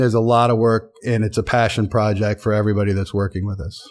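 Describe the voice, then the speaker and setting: With an American accent, a man talks very fast in a fairly low pitch, his intonation fairly even. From Pennsylvania, US. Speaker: sports executive. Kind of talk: interview.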